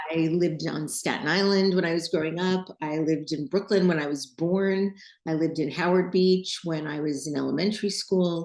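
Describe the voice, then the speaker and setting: An unremarkable speaking voice with an American accent, fairly even intonation, a moderate pace, and hardly any pauses. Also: woman, fairly low pitch for a woman. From New York City. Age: 60s. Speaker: designer and podcast host. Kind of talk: interview.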